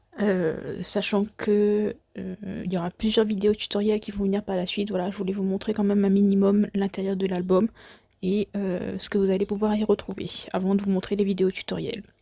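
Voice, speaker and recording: Speaking at a moderate pace, a woman has a medium pitch and a dark, mellow tone. Her intonation is monotone and flat. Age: 20s. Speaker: scrapbooking crafter. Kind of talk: voice-over craft tutorial presentation. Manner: hesitant.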